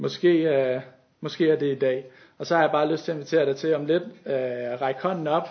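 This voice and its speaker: A man speaks at a moderate pace in a fairly high pitch, his intonation fairly even. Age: 20s. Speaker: youth leader and lay preacher. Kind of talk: sermon. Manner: halting.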